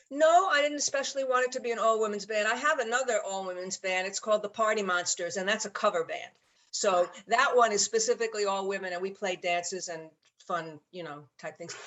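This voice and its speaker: Speaking with a New York accent, a woman keeps a fairly quick pace. Her intonation is lively. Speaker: jazz musician and bandleader. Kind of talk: interview. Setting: video call.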